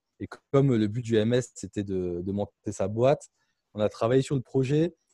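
A man talks at a moderate pace in a medium pitch with ordinary pitch variation and a dark, mellow tone. The sound is dry and close with no echo, over a quiet background. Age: 20s. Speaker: startup founder and CEO. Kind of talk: interview.

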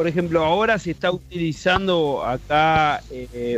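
At a fairly slow pace, a man talks in a plain, everyday voice, fairly high in pitch with ordinary pitch variation. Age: 40s. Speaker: podcast co-host. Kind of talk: casual interview.

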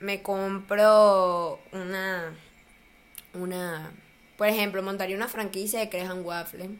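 With long, frequent pauses, a woman speaks at a very slow pace in a monotone, flat intonation at medium pitch. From Colombia, small town. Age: 20s. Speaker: university student and social media user. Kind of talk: casual interview chat.

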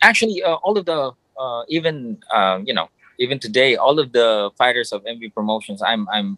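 Someone with a Filipino accent speaks at a moderate pace with ordinary pitch variation and a bright, sharp tone, in a dry, close sound with no echo. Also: man. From Philippines. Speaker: ring announcer. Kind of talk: casual interview. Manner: polite, halting with fillers.

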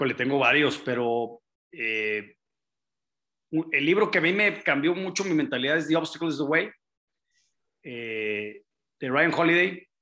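A fairly high-pitched man's voice, bright and sharp in tone, with lively intonation, a fairly slow pace and long, frequent pauses. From Monterrey, northern Mexico. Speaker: investor and real estate developer. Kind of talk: interview conversation.

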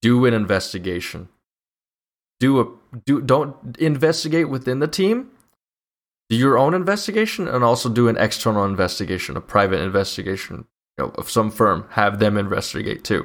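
Moving at a fairly quick pace, a man lets his pitch range very widely. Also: medium pitch for a man. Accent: American. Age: 20s. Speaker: podcast host, engineering student. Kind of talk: casual chat. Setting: livestream studio.

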